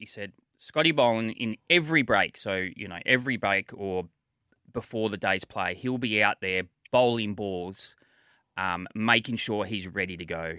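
In an Australian accent, a man with a fairly low pitch speaks at a moderate pace in a bright, sharp tone. The recording is very clean with a silent background, and the sound is dry and close with no echo. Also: ordinary pitch variation. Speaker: former cricketer and coach. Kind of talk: casual chat. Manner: hesitant with many fillers and repetitions.

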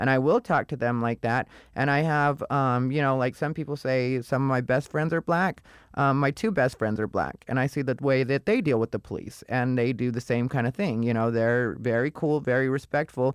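A man speaks in a normal speaking voice at medium pitch and moderate pace, with a dry, close sound with no echo on a very clean recording with a silent background. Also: ordinary pitch variation. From Arizona, Casa Grande. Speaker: comedian. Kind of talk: casual chat.

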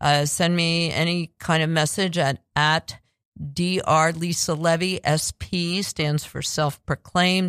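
A woman speaks at a very slow pace with a fairly low pitch and monotone, flat intonation. The recording is very clean, with a silent background. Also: dry, close sound with no echo. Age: old. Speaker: radio talk show host. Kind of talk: casual chat. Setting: studio. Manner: halting.

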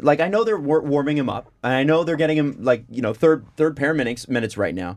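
A man with a Canadian accent talks at a very fast pace. His pitch is fairly high, and his intonation is lively. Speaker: podcast host. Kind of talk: casual podcast discussion. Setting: studio.

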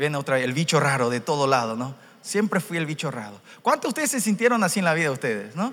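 A man's animated voice at a fairly high pitch, with very wide pitch swings and a very fast pace. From Paraguay (Korean family). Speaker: church interpreter. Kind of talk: sermon interpretation and personal testimony. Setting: church youth conference with audience.

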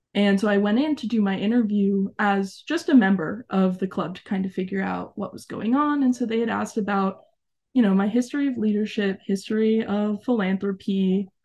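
A woman with an American accent talks at a fairly quick pace against a quiet background. Her medium-pitched voice has a dark, mellow, somewhat breathy tone and ordinary pitch variation. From Arizona. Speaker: former youth program member and camp staff. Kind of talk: interview.

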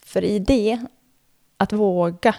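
A woman is talking. Her voice rises and falls in an ordinary way. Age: 30s. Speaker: former elite floorball player and reporter. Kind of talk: scripted narration.

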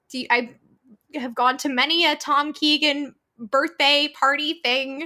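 In a raised, projected voice, a woman speaks very slowly at a high pitch with a bright, sharp tone. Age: 20s. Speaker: voice actor. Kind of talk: interview.

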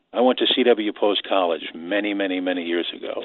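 In a New York accent, a man speaks at a fairly slow pace with a fairly low pitch and ordinary pitch variation. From New York City, Queens. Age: 70s. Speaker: caller, retired radio man. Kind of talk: phone-in call.

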